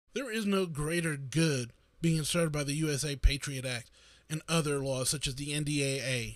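Here a man with an American accent and a normal speaking voice talks at a fairly high pitch and moderate pace with ordinary pitch variation. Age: 40s. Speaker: podcaster. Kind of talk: solo political commentary. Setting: live stream.

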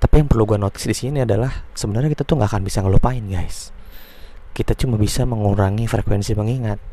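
Ordinary in pitch variation, a man's medium-pitched voice moves at a very fast pace. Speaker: podcaster giving advice. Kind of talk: casual monologue.

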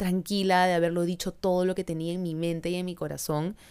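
The recording is very clean, with a silent background. A woman speaks at a fairly low pitch. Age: 30s. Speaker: podcast host and social media creator. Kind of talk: casual monologue.

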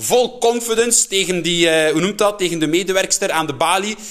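With a Flemish accent, a man talks at a high pitch and a moderate pace. His intonation is lively, and noticeable background noise comes through. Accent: Flemish Dutch. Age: 20s. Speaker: podcast host. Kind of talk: casual monologue. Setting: at home.

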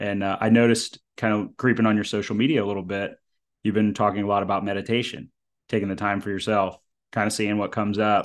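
Against a quiet background, a man speaks very fast at a fairly low pitch in a flat, monotone delivery. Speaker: podcast host. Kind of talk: casual interview.

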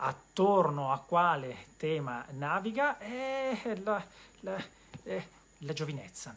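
Speaking at a very slow pace, a man with a high pitch takes long, frequent pauses and makes very wide pitch swings. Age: 40s. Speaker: bookseller and web show host. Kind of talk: solo live-stream monologue about books. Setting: bookshop, live web stream. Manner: hesitant with repetitions.

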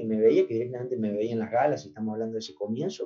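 A man's voice swings very widely in pitch over music in the background. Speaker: singer. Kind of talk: interview.

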